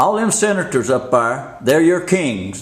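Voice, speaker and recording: This man's voice sits at a fairly high pitch, with lively intonation, an animated tone, vocal fry and a fairly slow pace. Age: 70s. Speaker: street preacher / religious video maker. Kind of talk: preaching rant. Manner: animated, emphatic.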